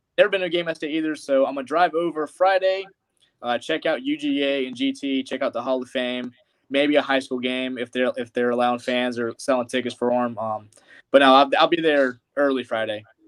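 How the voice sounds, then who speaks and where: The speaker has a slight Southern US accent and a fairly quick pace. Pitch varies in an ordinary way. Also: man, fairly high pitch for a man. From US Midwest. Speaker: college football fan guest. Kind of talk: casual chat.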